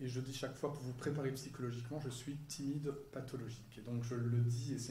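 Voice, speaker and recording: A man talks at a very fast pace in a medium-pitched, monotone, flat delivery. Audible room echo surrounds him. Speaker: psychology professor. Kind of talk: lecture. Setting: stage with audience.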